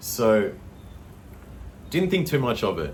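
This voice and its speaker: Audible room echo and noticeable background noise surround a man speaking with an Australian accent. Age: 30s. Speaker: vlogger. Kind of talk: casual storytelling monologue. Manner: casual, filler-heavy.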